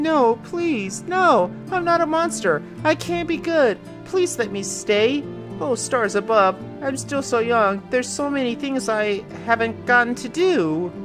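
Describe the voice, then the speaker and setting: Clear music plays behind a put-on character voice that speaks at a fairly slow pace and a fairly high pitch. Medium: read story. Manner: pleading, desperate.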